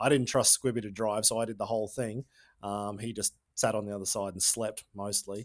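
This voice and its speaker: A man with an Australian accent, fairly low in pitch and monotone, at a fairly quick pace, dry and close with no echo, on a very clean recording with a silent background. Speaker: podcast host, former freestyle motocross rider. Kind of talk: podcast interview.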